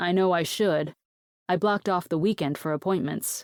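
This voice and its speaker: Putting on a character voice, a woman growls at a fairly low pitch and moderate pace, her loudness very even, in a dry, close sound with no echo. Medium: read story. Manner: guarded, terse.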